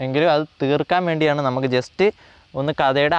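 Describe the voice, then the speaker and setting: In a dry, close recording with no echo, a man uses a normal speaking voice at a fairly high pitch with ordinary pitch variation. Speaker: online tutor. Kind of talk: lecture.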